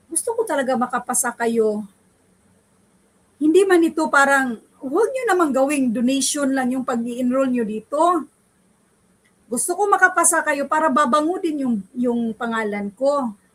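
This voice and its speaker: With lively intonation and an animated tone, a woman speaks at a high pitch. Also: moderate pace. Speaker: online civil service exam review teacher. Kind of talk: online review class wrap-up. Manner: emphatic.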